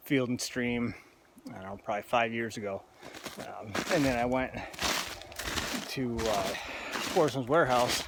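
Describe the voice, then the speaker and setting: Against noticeable background noise, a man talks at a moderate pace in a medium pitch with fairly even intonation. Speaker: hunting guide and outdoorsman. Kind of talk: outdoor vlog narration. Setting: outdoors in the woods. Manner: casual, halting with fillers.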